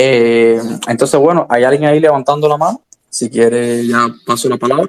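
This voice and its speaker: This man's voice is at a medium pitch, moving at a moderate pace with ordinary pitch variation. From Cuba. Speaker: libertarian commentator. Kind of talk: casual discussion in an audio chat room. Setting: online audio chat room. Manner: hesitant with frequent fillers.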